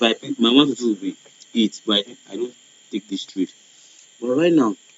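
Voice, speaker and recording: A man speaks at a medium pitch, and his pitch varies in an ordinary way. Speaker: forex trading educator. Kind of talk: tutorial. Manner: fast.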